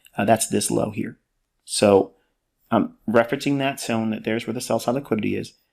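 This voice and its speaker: A man talks at a fairly quick pace with a medium pitch and vocal fry. His intonation is fairly even, in a very clean recording with a silent background. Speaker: trading educator. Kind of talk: tutorial.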